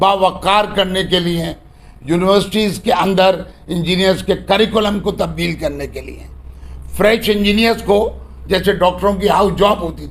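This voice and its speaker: The voice shows big swings in loudness, with audible room echo. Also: man. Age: 60s. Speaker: engineering council chairman. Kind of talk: press conference.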